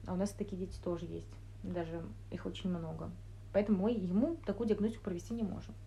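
A woman talks at a very fast pace. She leaves long, frequent pauses. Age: 20s. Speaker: clinical neuropsychologist. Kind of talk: casual interview.

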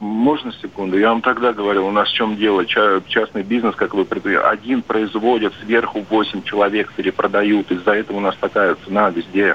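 With noticeable background noise behind him, a man speaks at a fairly low pitch in a monotone, flat intonation, with very even loudness and hardly any pauses. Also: fairly quick pace. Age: 40s. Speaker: long-haul truck driver. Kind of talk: call-in chat.

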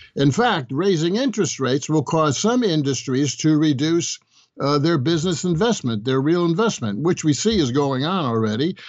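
In a normal speaking voice, a man talks at a fairly high pitch and moderate pace with lively intonation and very even loudness. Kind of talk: radio interview.

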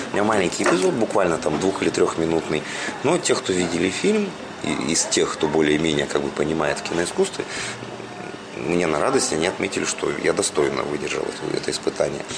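With music in the background, a man speaks at a fairly quick pace, broken by long, frequent pauses. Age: 40s. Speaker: showman and radio host. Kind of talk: interview. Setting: cafe.

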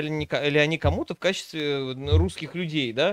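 A man's plain, everyday voice, fairly high in pitch with ordinary pitch variation, at a fairly slow pace. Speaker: streamer co-host. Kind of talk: casual reaction stream commentary.

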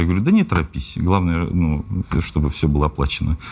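A man talks at a very fast pace. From Russia, Tula region (Novomoskovsk). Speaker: rapper. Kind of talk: interview.

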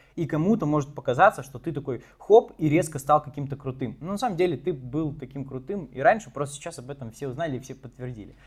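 A man at a fairly high pitch, somewhat breathy, very fast with hardly any pauses, big swings in loudness, and ordinary pitch variation. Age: 20s. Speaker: marketing agency founder. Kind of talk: interview. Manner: casual, filler-heavy.

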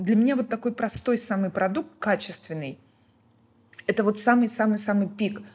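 A woman speaks at a moderate pace in a fairly high, somewhat breathy voice with ordinary pitch variation and long, frequent pauses. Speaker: restaurant founder and food blogger. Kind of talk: casual podcast interview.

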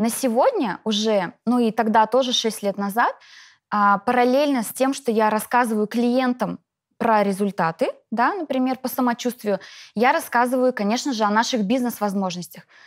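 A woman with an unremarkable speaking voice talks at a moderate pace with ordinary pitch variation and very even loudness, in a very clean recording with a silent background and a dry, close sound with no echo. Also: fairly high pitch for a woman. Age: 30s. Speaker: network marketing distributor. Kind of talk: interview.

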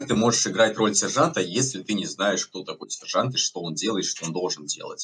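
Talking with hardly any pauses, a man with a fairly low pitch uses lively intonation. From Latvia. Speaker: gaming community administrator. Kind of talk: casual chat. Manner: hesitant with filler words.

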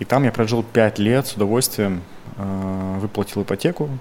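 This man has a plain, everyday voice, medium in pitch, with ordinary pitch variation and a moderate pace. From Russia, Krasnoyarsk Krai (Zheleznogorsk). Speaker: entrepreneur. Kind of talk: podcast interview.

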